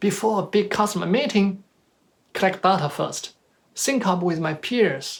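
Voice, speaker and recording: With a Chinese accent, a man talks at a moderate pace in a high pitch, using ordinary pitch variation. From China. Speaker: motivational speaker. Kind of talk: motivational talk.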